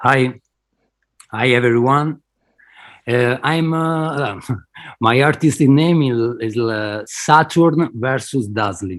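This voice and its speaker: A man with an Italian accent speaks at a very slow pace in a medium-pitched voice, leaving long, frequent pauses, on a very clean recording with a silent background. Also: ordinary pitch variation. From Italy. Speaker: digital artist. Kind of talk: interview. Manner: halting, hesitant.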